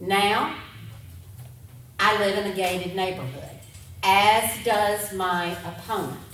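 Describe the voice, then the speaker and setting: A woman's fairly low voice at a very slow pace, with audible room echo and noticeable background noise. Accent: Alabama. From US South, Alabama (Clarke and Bibb County). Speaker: political candidate. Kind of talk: campaign speech. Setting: town hall podium. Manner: loud.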